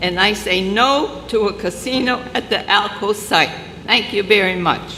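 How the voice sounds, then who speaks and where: At a moderate pace, a woman with a medium pitch speaks with fairly even intonation, amid audible room echo and noticeable background noise. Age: 90s. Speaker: public commenter, resident. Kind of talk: public comment at city council hearing. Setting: city council meeting. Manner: formal.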